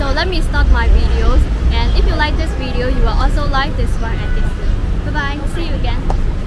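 Over loud background noise, a woman speaks in a dry sound with no echo. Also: moderate pace. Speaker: travel vlog host. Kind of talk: casual vlog chat. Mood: friendly, upbeat. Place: street.

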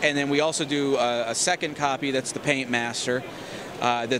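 A man talks at a moderate pace with fairly even intonation, his dry sound carrying no echo over noticeable background noise. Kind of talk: interview answer. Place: hall. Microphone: handheld.

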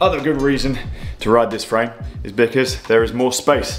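A man talks at a fairly quick pace with ordinary pitch variation while faint music plays in the background. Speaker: cycling vlogger. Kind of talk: casual vlog chat. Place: home room. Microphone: phone near.

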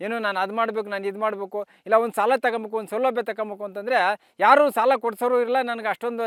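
In a flat monotone, a man speaks at a high pitch for a man. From Karnataka, India (Doddaballapur taluk, Bengaluru Rural). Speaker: farmer. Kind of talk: interview testimony. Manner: halting.

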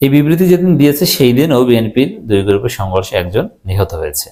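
Speaking at a medium pitch, a man with a dark, mellow tone makes very wide pitch swings. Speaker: political commentator. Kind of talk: political commentary monologue. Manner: animated.

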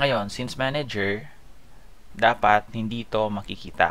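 With a fairly low pitch and fairly even intonation, a man speaks at a moderate pace. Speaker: programming tutorial instructor. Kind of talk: screen-recorded coding tutorial. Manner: casual, with frequent fillers (um, okay).

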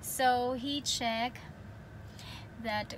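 Noticeable background noise surrounds a woman's voice. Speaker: vlogger. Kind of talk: casual vlog chat. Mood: happy, excited. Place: car. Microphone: phone near.

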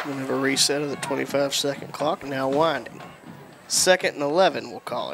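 With a Southern US accent, the speaker keeps a moderate pace and fairly even intonation over noticeable background noise. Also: man. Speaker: play-by-play announcer. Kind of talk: live sports play-by-play commentary. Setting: stadium broadcast booth.

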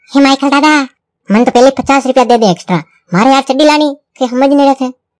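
A woman speaks very fast in a high, put-on character voice. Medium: machinima.

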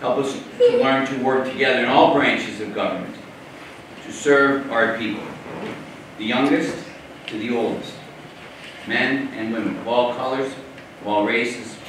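With strong room echo and light background noise, a man speaks at a moderate pace and medium pitch, his intonation fairly even. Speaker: priest. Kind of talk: prayer. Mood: solemn, measured. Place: hall.

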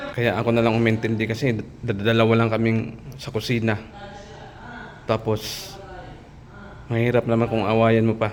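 Over noticeable background noise, a man speaks in a monotone, flat intonation with long, frequent pauses. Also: medium pitch for a man, moderate pace. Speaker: overseas worker vlogger. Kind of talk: casual vlog. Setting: restaurant.

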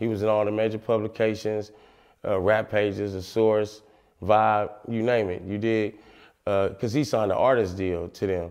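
The background is quiet as a man speaks at a fairly low pitch. His intonation is monotone and flat, at a moderate pace. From San Francisco, Fillmore district. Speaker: rapper. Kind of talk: interview monologue. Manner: casual, filler-heavy. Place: studio.

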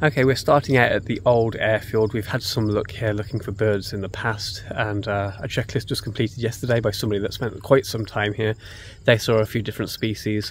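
A man uses a normal speaking voice at a fairly quick pace with fairly even intonation. The sound is dry with no echo, over light background noise. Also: fairly low pitch for a man. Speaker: birding vlogger. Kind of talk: casual vlog chat. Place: open country. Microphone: phone near.

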